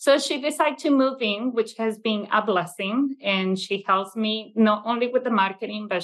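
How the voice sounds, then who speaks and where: The speaker has a Venezuelan accent and talks at a fairly slow pace. Pitch varies in an ordinary way over a quiet background. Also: woman. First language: Italian. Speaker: childcare business owner. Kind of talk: casual interview. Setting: video call. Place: classroom. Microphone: webcam.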